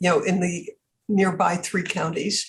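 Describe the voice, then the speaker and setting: A woman with an American accent speaks at a moderate pace in a medium pitch, her voice somewhat breathy. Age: 80s+. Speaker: philanthropist. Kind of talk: interview.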